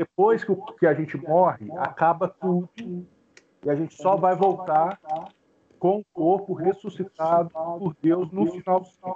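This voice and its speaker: In a dry, close sound with no echo, a man with a high pitch and a dark, mellow tone speaks at a fairly slow pace with fairly even intonation. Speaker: student in the class. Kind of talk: question in online class. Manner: halting. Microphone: connection drops out.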